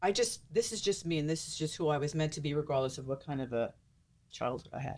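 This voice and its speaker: This woman has a very deep, low pitch and a New York accent. She talks very fast with lively intonation. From US Northeast, Mount Vernon, New York. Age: 60s. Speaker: social media personality. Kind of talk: casual chat.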